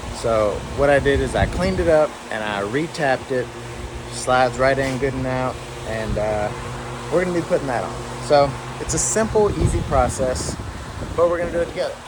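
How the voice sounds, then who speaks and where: Long, frequent pauses interrupting a fairly quick pace, plus noticeable background noise. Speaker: car enthusiast vlogger. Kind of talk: tutorial. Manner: casual; loud.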